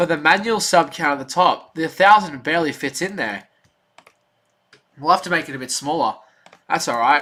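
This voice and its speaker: This man has a bright, sharp tone and an Australian accent. He talks at a fairly quick pace with a fairly high pitch and very wide pitch swings. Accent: Australian, sometimes mistaken for English. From Australia, Melbourne. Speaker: sports streamer. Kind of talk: live stream chat and play-by-play. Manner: animated.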